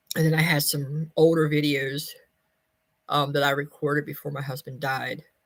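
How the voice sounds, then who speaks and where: The speaker has an American accent and a monotone, flat intonation. The pace is fairly slow. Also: woman. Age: 50s. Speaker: vlogger. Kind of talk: casual chat. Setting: livestream.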